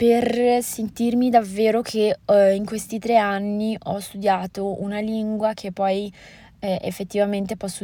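This woman's medium-pitched voice has a dark, mellow tone on a very clean recording with a silent background. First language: Moroccan Arabic (Darija) (speaking Italian). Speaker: podcaster. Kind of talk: casual monologue. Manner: hesitant, many fillers.

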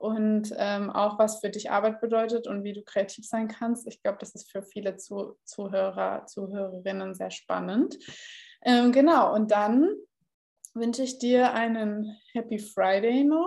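At a fairly slow pace, a woman with a fairly high pitch and ordinary pitch variation talks with big swings in loudness. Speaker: podcast host, content marketing consultant. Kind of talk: casual interview chat. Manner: raises voice oddly at the start.

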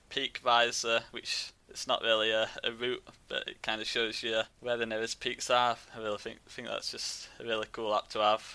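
A man with a Yorkshire accent, medium pitch, bright, sharp tone, monotone, flat intonation and moderate pace. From West Yorkshire. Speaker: travel blogger. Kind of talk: casual chat.

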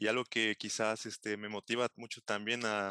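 A man with a Veracruz Mexican accent speaks fairly slowly in a fairly low, bright, sharp voice with monotone, flat intonation, recorded dry and close with no echo against a quiet background. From Mexico, Xalapa, Veracruz. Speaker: postdoctoral chemist. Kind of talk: interview.

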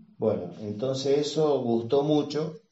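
The pace stays fairly slow. This man's pitch moves with ordinary variation. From Argentina, northern Santa Fe province. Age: 60s. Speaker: retired engineer. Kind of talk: interview. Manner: halting.

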